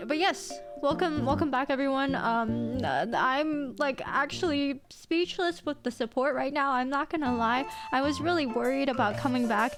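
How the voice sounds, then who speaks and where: With music in the background, a woman speaks at a high pitch with ordinary pitch variation and very even loudness. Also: moderate pace. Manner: speaking with a lisp.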